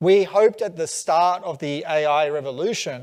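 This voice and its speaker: The recording is very clean, with a silent background. A man with an Australian accent speaks at a high pitch with ordinary variation. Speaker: tech company CEO. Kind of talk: onstage conference interview.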